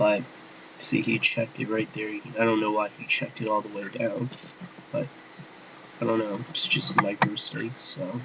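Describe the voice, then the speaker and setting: Against noticeable background noise, a man speaks at a medium pitch and a moderate pace. His pitch varies in an ordinary way, with long, frequent pauses. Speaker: poker player. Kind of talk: screen-recorded tutorial commentary. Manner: whispered.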